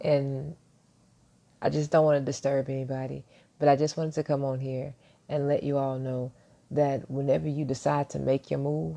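Soft-spoken and very deep in pitch, a woman talks at a moderate pace in a dark, mellow tone with fairly even intonation and long, frequent pauses against a quiet background. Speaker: motivational vlogger. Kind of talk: motivational monologue.

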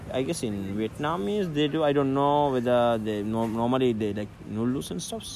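A man talks at a moderate pace with hardly any pauses, his voice medium in pitch with ordinary variation. Noticeable background noise runs under the recording. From Maldives. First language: Dhivehi. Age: 30s. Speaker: dive instructor. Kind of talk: casual interview chat. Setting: outdoors. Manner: halting.

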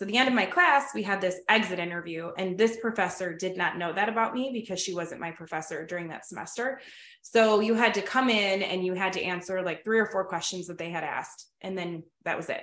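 A woman with an American accent talks at a fairly quick pace in a medium pitch. She has an ordinary speaking voice with ordinary pitch variation. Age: 30s. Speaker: school principal and podcast host. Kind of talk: casual chat, interview.

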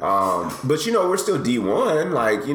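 There is noticeable background noise as a man talks, with audible room echo around his voice. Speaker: podcast host. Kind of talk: casual chat.

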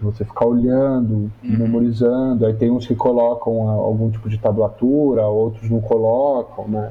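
A man with an unremarkable speaking voice talks at a moderate pace, his pitch sitting in the middle range. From Brazil, São Paulo. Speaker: musician, music professor and researcher. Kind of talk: interview conversation.

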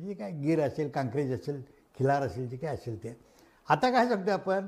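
Very wide pitch swings in a somewhat breathy voice, very clean recording on a silent background. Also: man. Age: 70s. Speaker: agricultural scientist. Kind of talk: lecture. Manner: conversational, loosely structured.

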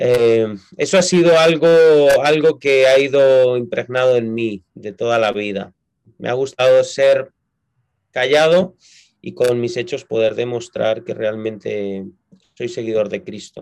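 A man with a Castilian accent at a medium pitch, fairly slow pace, ordinary pitch variation and long, frequent pauses. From Spain, Madrid. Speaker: pastor. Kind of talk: interview.

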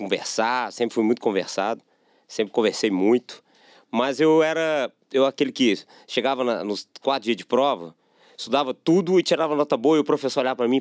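With an unremarkable speaking voice, a man talks fairly quickly at medium pitch with ordinary variation, in a very clean recording with a silent background. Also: dry, close sound with no echo. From Belo Horizonte, Minas Gerais, Brazil. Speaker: sales executive. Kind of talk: casual interview chat.

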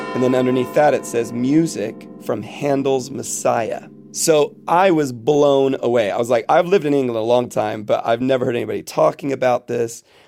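With an American accent and music in the background, a man speaks at a moderate pace in a medium pitch, with ordinary pitch variation and hardly any pauses. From Florida, US, teen years in Jerusalem. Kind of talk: casual chat. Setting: remote call.

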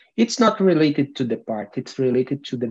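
With a Portuguese accent and lively intonation, the speaker talks over a quiet background. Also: man. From Brazil (Brasilia, Amazon region). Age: 40s. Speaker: language learner in conversation group. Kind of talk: casual chat. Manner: halting.

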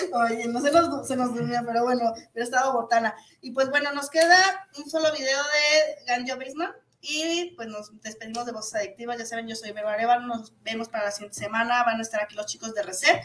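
With a high pitch and ordinary pitch variation, a woman talks at a fairly quick pace, her loudness swinging widely. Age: 40s. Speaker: internet radio host. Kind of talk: casual interview. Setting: radio studio.

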